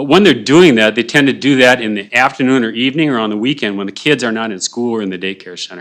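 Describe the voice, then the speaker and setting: Over a silent background in a very clean recording, a man talks at a very fast pace with ordinary pitch variation. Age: 60s. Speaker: public commenter at county hearing. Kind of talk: public hearing testimony. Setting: county board meeting. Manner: fast, hurried.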